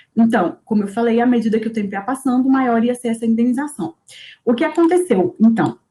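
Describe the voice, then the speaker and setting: Lively intonation marks a woman's fairly high-pitched voice. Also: fairly quick pace. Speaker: teaching assistant. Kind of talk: lecture. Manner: fast; halting.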